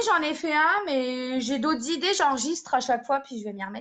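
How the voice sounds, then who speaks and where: High-pitched and lively in intonation, a woman's voice comes through. She speaks in a slight Champagne accent. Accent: Champagne regional French, slight. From Champagne-Ardenne, France. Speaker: makeup live streamer. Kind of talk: casual chat. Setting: live stream.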